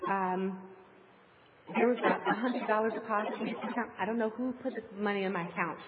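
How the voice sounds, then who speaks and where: Noticeable background noise sits behind a woman talking at a very fast pace. Her pitch is fairly high and her intonation fairly even. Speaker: congregation member. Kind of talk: testimony.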